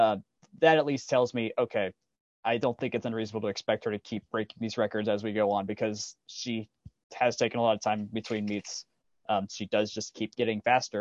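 A man speaks in a normal speaking voice at medium pitch and a fairly quick pace, his intonation fairly even, with a dry, close sound, no echo and a quiet background. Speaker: guest, recent college graduate. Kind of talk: casual chat.

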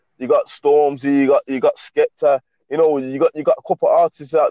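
A man with a Birmingham accent at a fairly quick pace, in a dry, close sound with no echo. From England, Birmingham. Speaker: aspiring rapper calling in. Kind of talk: casual chat. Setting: phone call. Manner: halting, repeating words.

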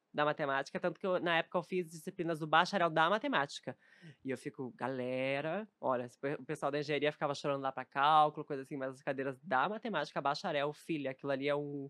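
A woman with a very deep, low pitch talks very fast, her pitch varying in an ordinary way. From southern Brazil, Novo Hamburgo (Rio Grande do Sul). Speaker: streamer and content creator. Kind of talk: casual chat.

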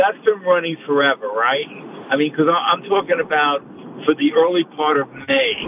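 Over noticeable background noise, a man talks at a fairly high pitch with lively intonation. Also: moderate pace. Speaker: caller. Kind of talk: casual phone call ordering tickets. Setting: in a car, phone call.

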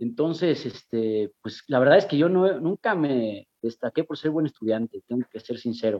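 In an ordinary speaking voice, a man talks at a moderate pace and medium pitch, his intonation lively and with hardly any pauses. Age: 40s. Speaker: actor and TV host. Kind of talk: casual chat.

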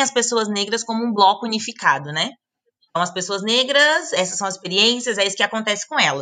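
A woman speaks at a medium pitch and a fairly quick pace, her tone bright, sharp and animated. Her intonation is lively. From Brazil, Brasília. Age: 20s. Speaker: travel blogger and digital nomad. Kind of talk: casual interview chat. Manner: animated, laughing.

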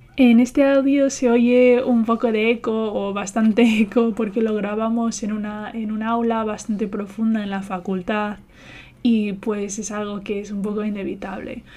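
Her intonation is monotone and flat. The woman talks at a fairly slow pace in a fairly high pitch. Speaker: journalism student, podcast host. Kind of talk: casual chat. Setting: university classroom with echo. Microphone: echo, uneven distance to mic.

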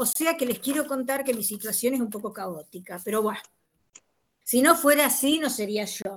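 Her high pitch and lively intonation carry a woman's speech along at a moderate pace. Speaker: university teacher. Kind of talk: online class discussion.

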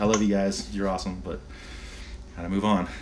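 A man with a fairly low voice rattles along at a very fast pace while noticeable background noise plays behind him. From San Diego, California. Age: 40s. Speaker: sailboat captain and Navy veteran. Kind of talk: casual chat.

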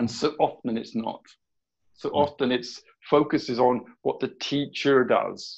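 Speaking fairly slowly with a southern English accent, a man with a fairly high voice keeps a monotone, flat intonation. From southern England. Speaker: education coach. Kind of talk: casual interview.

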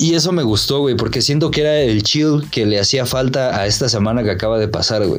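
Speaking fairly quickly with hardly any pauses, a man with a Mexico City accent keeps a medium pitch, ordinary pitch variation and very even loudness against noticeable background noise. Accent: Mexican Spanish (Mexico City). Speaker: podcast co-host. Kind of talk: casual chat.

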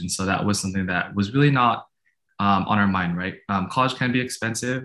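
Against a quiet background, a man speaks with ordinary pitch variation. His pitch is fairly low. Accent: American. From San Francisco Bay Area, US. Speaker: university graduate, guest. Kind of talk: interview. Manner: hesitant with many fillers.

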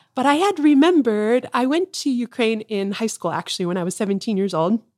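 A woman's plain, everyday voice with an American accent, fairly high pitch and lively intonation, in a very clean recording with a silent background and a dry, close sound with no echo. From US, Tucson, Arizona. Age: 40s. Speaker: missionary. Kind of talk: casual interview chat. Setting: in person at her childhood home.

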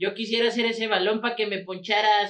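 With a Mexican accent, a man talks at a fairly quick pace. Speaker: football podcast host. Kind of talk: casual chat.

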